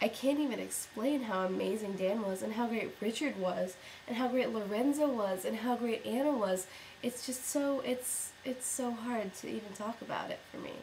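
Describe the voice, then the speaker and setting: Noticeable background noise behind a woman's fairly high voice, with ordinary pitch variation and a moderate pace. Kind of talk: casual talk to camera. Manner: unenthusiastic.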